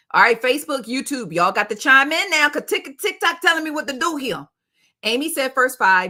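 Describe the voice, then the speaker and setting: In an American accent, a voice with vocal fry and a bright, sharp tone speaks animatedly at a moderate pace. The recording is very clean, with a silent background. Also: woman. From South Jersey, US. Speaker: entertainment news streamer. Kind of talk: casual livestream chat. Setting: livestream.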